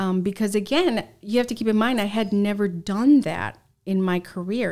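A woman speaks at a medium pitch with an American accent and ordinary pitch variation. The recording is very clean with a silent background. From Southern California. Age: 40s. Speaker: former TV news reporter. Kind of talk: interview.

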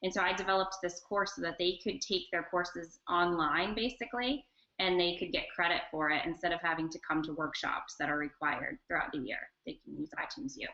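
The speaker has an ordinary speaking voice with an American accent. The pace is fairly quick. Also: woman, fairly low pitch for a woman. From North Carolina, Charlotte. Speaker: educational technology specialist. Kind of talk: online interview and screen-share demo.

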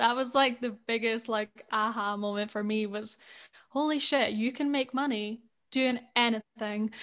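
The speaker has a Scottish accent. The intonation is monotone and flat. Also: woman. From Scotland. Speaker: spiritual life coach. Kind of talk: casual chat.

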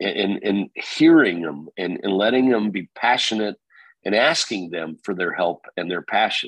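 An unremarkable speaking voice moves at a fairly slow pace with ordinary pitch variation. The sound is dry and close, with no echo. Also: man, fairly low pitch for a man. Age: 50s. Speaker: real estate company founder. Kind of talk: interview.

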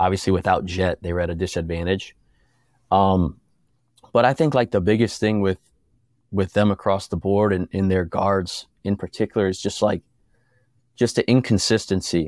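At a moderate pace with long, frequent pauses, the voice keeps a fairly even intonation, recorded very cleanly against a silent background with a dry, close sound and no echo. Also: man. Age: 30s. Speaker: former college basketball player. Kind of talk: casual chat.

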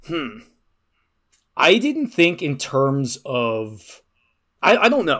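In a very clean recording with a silent background, a man with a fairly high pitch and a bright, sharp tone speaks at a very slow pace, making very wide pitch swings and long, frequent pauses. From Ireland. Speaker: podcast co-host and actual-play performer. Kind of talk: casual chat.

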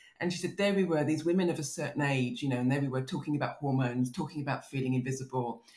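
A woman with a southern English accent speaks at a very fast pace, with hardly any pauses. Her very deep, low voice is somewhat breathy, with ordinary pitch variation. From southern England (Kent). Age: 50s. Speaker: novelist. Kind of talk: podcast interview.

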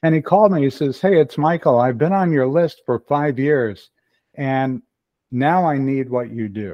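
At a moderate pace, the speaker uses an unremarkable speaking voice with ordinary pitch variation. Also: man, fairly high pitch for a man. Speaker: email marketing consultant. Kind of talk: casual interview.

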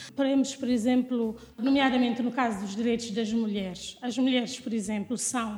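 With hardly any pauses, a woman with a fairly high pitch speaks at a moderate pace and fairly even intonation over noticeable background noise. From Guinea-Bissau. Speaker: lawyer and doctoral researcher. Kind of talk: interview.

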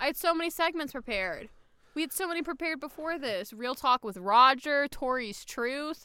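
In a very clean recording with a silent background, a woman uses a raised, projected voice with a bright, sharp tone, high pitch, lively intonation and an animated tone at a moderate pace. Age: 20s. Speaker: podcast host. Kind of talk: casual chat. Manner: excitable.

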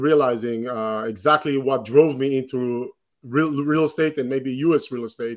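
A man speaks with an Israeli accent and fairly even intonation. The background is quiet. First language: Hebrew. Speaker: real estate investor and educator. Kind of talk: interview.

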